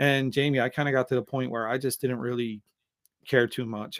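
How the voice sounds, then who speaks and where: In an American accent, a man with a plain, everyday voice speaks at medium pitch with fairly even intonation, recorded very cleanly against a silent background in a dry, close space with no echo. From United States. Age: 50s. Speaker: podcast host and author. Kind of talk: interview conversation.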